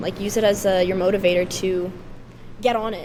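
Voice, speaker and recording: A woman speaks at a moderate pace with ordinary pitch variation, and noticeable background noise runs behind her. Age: 20s. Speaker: musician. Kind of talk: casual chat.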